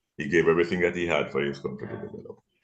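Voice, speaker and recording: Music plays in the background as a man speaks. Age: 70s. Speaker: son of a political figure. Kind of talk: casual chat. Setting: video call.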